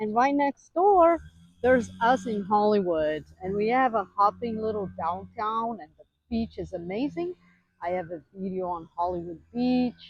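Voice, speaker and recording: Her intonation is lively, and her loudness swings widely. A woman with a medium pitch speaks at a fairly slow pace. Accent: Western European. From Western Europe. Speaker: homeowner vlogger giving neighborhood tour. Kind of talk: casual walking tour vlog.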